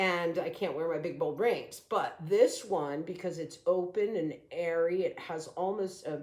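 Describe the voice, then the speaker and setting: With an ordinary speaking voice, a woman talks at a fairly slow pace and a fairly low pitch. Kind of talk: sales pitch. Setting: at sister's house. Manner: casual, chatty.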